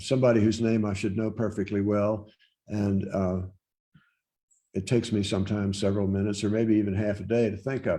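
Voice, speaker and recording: Speaking very fast with an American accent, a man uses a monotone, flat intonation in a fairly low, dark, mellow voice. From Virginia, Loudoun County. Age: 70s. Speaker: poet. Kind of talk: interview answers. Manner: halting, many fillers.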